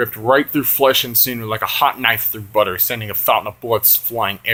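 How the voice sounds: This is a natural reading voice. The delivery flows as written text read aloud.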